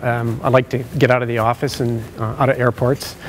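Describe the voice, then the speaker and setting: With noticeable background noise behind him, a man speaks in a Canadian accent at a medium pitch with fairly even intonation. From British Columbia, Canada (Langley). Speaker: occupational sleep specialist. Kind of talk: conference presentation. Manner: loud.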